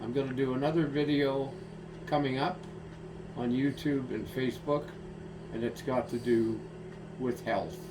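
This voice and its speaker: With audible room echo and noticeable background noise, a man speaks at a medium pitch with fairly even intonation and long, frequent pauses. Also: moderate pace. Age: 80s+. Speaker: retired stroke patient vlogger. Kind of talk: personal video monologue. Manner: halting with many fillers.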